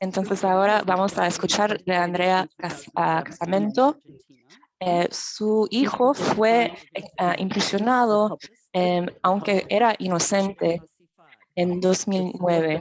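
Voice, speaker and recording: A woman speaks at a medium pitch with ordinary pitch variation. Her pace is very slow. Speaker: event moderator. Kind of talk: event moderation.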